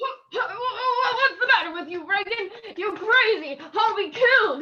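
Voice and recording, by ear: Putting on a character voice, a woman speaks fairly slowly at an extremely high pitch, her bright, sharp tone paired with lively intonation.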